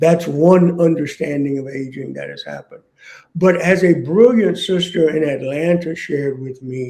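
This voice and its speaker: A man's dark, mellow tone sits at a fairly high pitch. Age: 60s. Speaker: author. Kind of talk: interview. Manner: halting.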